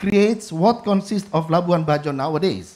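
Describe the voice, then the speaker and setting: Someone speaks at a fairly slow pace with an Indonesian accent. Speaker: government official. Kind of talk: conference presentation. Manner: halting.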